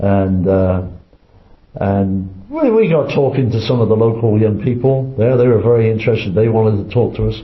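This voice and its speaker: A man with a medium pitch speaks at a moderate pace with ordinary pitch variation and very even loudness, with audible echo in the room. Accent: English. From England. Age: 80s. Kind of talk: interview. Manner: halting, many repetitions.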